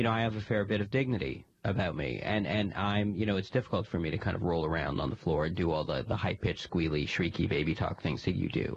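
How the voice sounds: A man puts on a character voice, low-pitched with vocal fry and a slightly husky edge, talking fast with few pauses and ordinary pitch variation.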